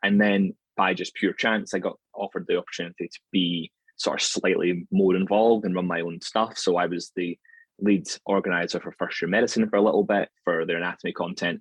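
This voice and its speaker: In a Scottish accent, a man speaks at a fairly quick pace, recorded with a dry, close sound and no echo. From Scotland, near Glasgow. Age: 30s. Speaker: anatomy lecturer. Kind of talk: podcast interview.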